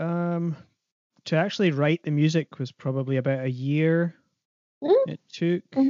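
With an Aberdeenshire accent, a man of fairly high pitch speaks at a moderate pace with ordinary pitch variation and long, frequent pauses. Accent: Scottish (Aberdeenshire). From northeast Scotland, Aberdeenshire. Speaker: composer and double bass player. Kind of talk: interview.

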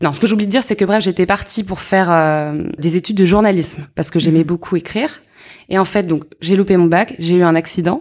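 At a fairly quick pace, this is a normal speaking voice with ordinary pitch variation. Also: woman, fairly low pitch for a woman. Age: 30s. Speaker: entrepreneur, accessories brand founder. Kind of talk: casual interview.

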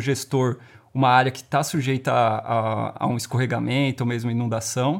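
In a normal speaking voice, a man talks at a moderate pace with medium pitch and fairly even intonation. The recording is very clean, with a silent background. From São Paulo, Perus (Zona Norte). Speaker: environmental impact specialist. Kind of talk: casual interview.

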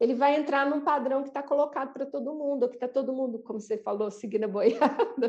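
A woman speaks at a very fast pace with hardly any pauses. Her pitch is high, with ordinary pitch variation. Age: 40s. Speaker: podcast co-host. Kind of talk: casual chat.

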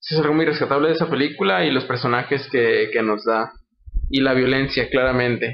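A man speaks at a moderate pace in a fairly high pitch. His is an ordinary speaking voice, with very even loudness. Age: 20s. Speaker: film podcast guest. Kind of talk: casual chat.

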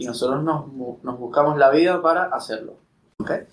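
A man's unremarkable speaking voice, at a fairly quick pace with ordinary pitch variation. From Venezuela. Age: 30s. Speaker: startup co-founder. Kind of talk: casual interview.

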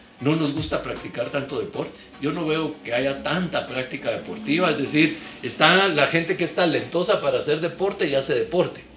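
With music playing in the background, the man's voice sits fairly high in pitch. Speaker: sports journalist. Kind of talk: casual interview chat.

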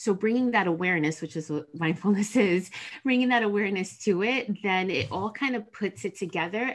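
A woman with an unremarkable speaking voice and an American accent, at a moderate pace with ordinary pitch variation against a quiet background. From New Jersey, US. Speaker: counselor. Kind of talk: podcast interview.

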